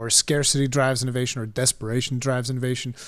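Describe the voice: A man speaks fast at a medium pitch, his tone clear and smooth. The recording is very clean, with a silent background.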